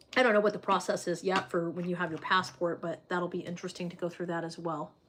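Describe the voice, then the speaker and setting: The speech races at a very fast pace in a flat monotone. Background noise is noticeable. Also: woman, fairly low pitch for a woman. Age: 30s. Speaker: livestreamer reading viewer comments. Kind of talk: casual livestream chat. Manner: hesitant, many fillers.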